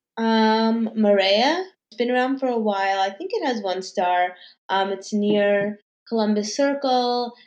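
A woman with an American accent talks fairly slowly at a fairly high pitch, with ordinary pitch variation. Music plays in the background. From New York City, Manhattan. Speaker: food and lifestyle influencer. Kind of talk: casual interview.

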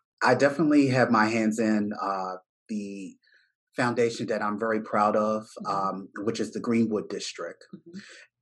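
A Baltimore accent at a moderate pace, with fairly even intonation and big swings in loudness. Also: man, medium pitch for a man. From Baltimore, US. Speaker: business owner, tech entrepreneur. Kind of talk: casual interview conversation.

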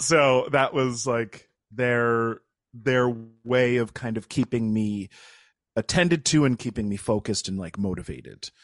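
An ordinary speaking voice: a man of medium pitch with an American accent, at a fairly slow pace, in a dry, close sound with no echo. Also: ordinary pitch variation, quiet background. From upstate New York. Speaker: actor and improv comedian. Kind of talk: casual interview chat.

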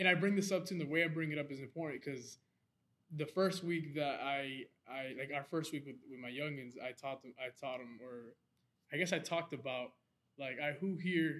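Speaking with an American accent, a man uses an ordinary speaking voice at a fairly high pitch with ordinary pitch variation and a fairly quick pace. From Lawrence, Massachusetts. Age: 20s. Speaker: photographer and photography teacher. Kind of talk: casual chat.

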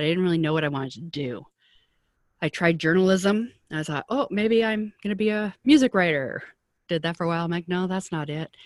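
A woman with an ordinary speaking voice, pitched fairly low, talks at a fairly quick pace with lively intonation on a very clean recording with a silent background. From Canada, Vancouver. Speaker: publicist and career coach for artists. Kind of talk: interview conversation.

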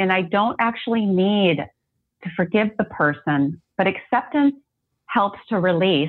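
Her pitch is medium and varies in an ordinary way, in an unremarkable speaking voice from a woman. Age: 40s. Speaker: life coach and occupational therapist. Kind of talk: interview.

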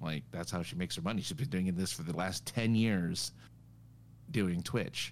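A man talks at a moderate pace with very wide pitch swings and vocal fry, captured in a very clean recording with a silent background. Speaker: podcast co-host. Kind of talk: casual chat. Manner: loud.

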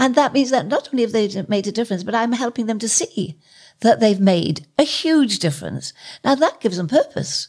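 Vocal fry and very wide pitch swings mark this moderate-paced speech on a very clean recording with a silent background. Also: woman. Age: 80s+. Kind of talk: interview.

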